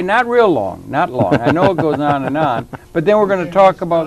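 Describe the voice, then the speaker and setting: With lively intonation and a fairly high pitch, a man talks fairly quickly while noticeable background noise fills the recording. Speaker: talk show host. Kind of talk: TV interview host talk. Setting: studio.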